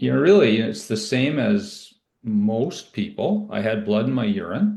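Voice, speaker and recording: In a Canadian accent, this somewhat breathy voice has a dark, mellow tone, very wide pitch swings, and a fairly slow pace. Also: man, medium pitch for a man. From Ontario, Canada. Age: 60s. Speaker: cancer survivor, IT professional. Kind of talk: interview testimony. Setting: podcast. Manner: casual, with fillers.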